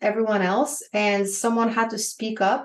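A woman with a Bulgarian accent, fairly high-pitched, at a moderate pace. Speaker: business coach. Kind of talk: interview.

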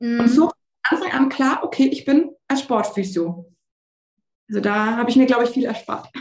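Her pitch high and her intonation lively, a woman talks at a moderate pace with long, frequent pauses. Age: 20s. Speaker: sports physiotherapist. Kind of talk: interview.

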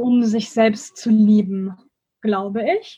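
A woman speaks in a fairly high voice with a dark, mellow tone. Her delivery is somewhat breathy, and her intonation stays fairly even. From Germany, Bonn. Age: 20s. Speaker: student and school education volunteer. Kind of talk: interview.

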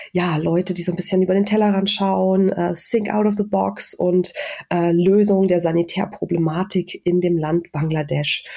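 Over noticeable background noise, the speaker talks at a moderate pace with monotone, flat intonation. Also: woman. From Saxony-Anhalt, Germany (rural village). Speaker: industrial designer and social entrepreneur. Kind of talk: interview.

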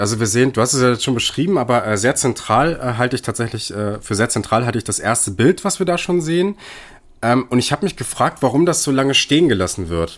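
A man's medium-pitched voice with lively intonation at a fairly quick pace, on a very clean recording with a silent background. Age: 20s. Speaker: film podcast co-host. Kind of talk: film analysis discussion. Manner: hesitant, many fillers.

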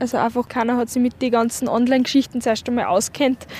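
The woman has a high pitch and a monotone, flat intonation. She talks at a fairly quick pace. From Upper Austria, Windischgarsten. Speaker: university student. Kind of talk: street interview. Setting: outdoors in a park.

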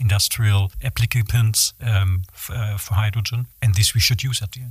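A man of medium pitch speaks with a German accent in a somewhat breathy voice. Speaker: materials engineer. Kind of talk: interview.

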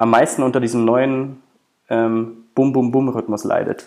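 This man's medium-pitched voice has a dark, mellow tone and a monotone, flat intonation. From Germany, half Brazilian. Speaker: sports journalist. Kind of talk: casual chat. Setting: remote recording.

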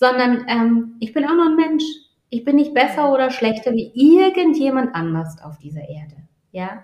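A woman's high voice with very wide pitch swings, big shifts in loudness and a moderate pace. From Baden, southwestern Germany. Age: 50s. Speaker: executive coach. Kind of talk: interview.

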